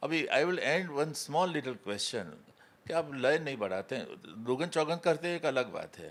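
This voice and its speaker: At a moderate pace, a man speaks with vocal fry and ordinary pitch variation. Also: fairly high pitch for a man. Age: 90s. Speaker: classical musician and interviewer. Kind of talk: interview conversation. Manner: halting.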